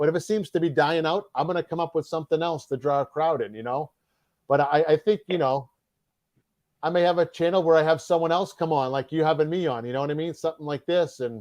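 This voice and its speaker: A man's very fast speech in a Boston accent, fairly high in pitch, with ordinary pitch variation and a dry, close sound with no echo over a quiet background. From Massachusetts, north of Boston. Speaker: mail carrier and YouTube game show host. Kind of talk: interview.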